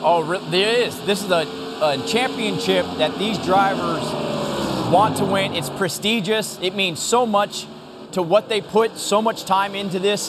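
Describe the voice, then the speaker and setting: A high-pitched man at a fairly slow pace, with ordinary pitch variation and noticeable background noise. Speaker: racing analyst. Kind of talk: live race commentary. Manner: enthusiastic, conversational.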